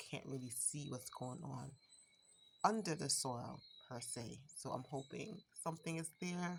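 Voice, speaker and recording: A woman with an American accent speaks with vocal fry and ordinary pitch variation. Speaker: home gardener, channel owner. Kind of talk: garden tour vlog. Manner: casual, hesitant with fillers.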